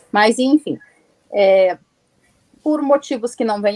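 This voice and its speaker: Very wide swings in pitch from a woman, recorded dry and close without any echo. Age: 40s. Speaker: writer and publisher. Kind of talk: interview.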